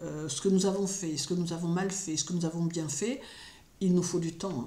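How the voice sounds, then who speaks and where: A woman with a fairly low, somewhat breathy voice speaks at a moderate pace with ordinary pitch variation. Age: 60s. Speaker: astrologer and spiritual commentator. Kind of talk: solo spoken commentary. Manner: hesitant with frequent fillers.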